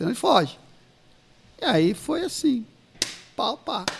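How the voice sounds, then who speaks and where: A man talks at a moderate pace. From São Paulo state interior, Ribeirão Preto. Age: 50s. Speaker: pastor. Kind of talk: casual chat with life stories.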